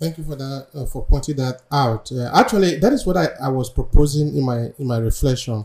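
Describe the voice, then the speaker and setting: This man talks at a fairly quick pace with hardly any pauses. His fairly high, somewhat breathy voice shows ordinary pitch variation. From Nigeria (Edo State). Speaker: podcast host. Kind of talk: interview.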